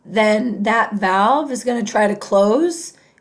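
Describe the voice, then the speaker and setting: Here a woman speaks at a very slow pace. Her pitch is medium and varies an ordinary amount. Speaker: nursing instructor. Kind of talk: lecture. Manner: halting, many fillers.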